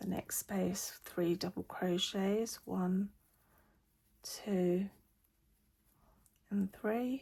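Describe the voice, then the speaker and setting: Very slowly and with long, frequent pauses, a woman talks at a medium pitch in a somewhat breathy voice, her loudness very even and her intonation fairly even. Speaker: crochet teacher. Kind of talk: tutorial. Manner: hesitant with fillers.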